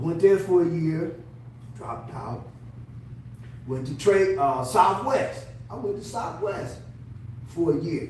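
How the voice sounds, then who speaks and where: A man with an American accent, fairly high pitch and lively intonation, big swings in loudness, a fairly slow pace and long, frequent pauses, amid audible room echo and noticeable background noise. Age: 70s. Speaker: navy veteran. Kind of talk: interview. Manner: halting.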